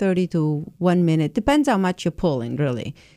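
Dry and close with no echo, a woman's fairly low voice carries a dark, mellow tone. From southern Italy. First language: Italian. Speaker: cheesemaker. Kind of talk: radio interview.

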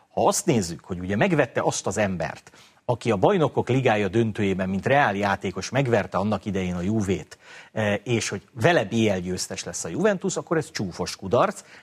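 Here a man has an ordinary speaking voice with a fairly low pitch. His intonation is lively, and his pace is moderate. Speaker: football pundit. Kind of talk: casual chat.

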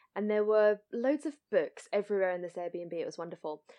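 Medium-pitched for a woman, this is a normal speaking voice with lively intonation. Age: 30s. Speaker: podcast co-host. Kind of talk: casual chat.

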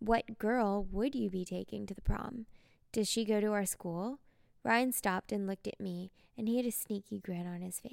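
An unforced reading voice, its pitch varying ordinarily

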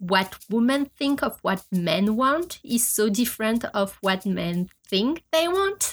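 Speaking very slowly with a French accent and lively intonation, a woman is heard in a very clean recording with a silent background. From France. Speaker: podcast host. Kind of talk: monologue.

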